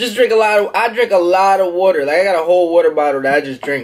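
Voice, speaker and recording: At a fairly quick pace, a man speaks with a high pitch. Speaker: vlogger. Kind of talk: casual eating vlog chat. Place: home room. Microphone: phone near.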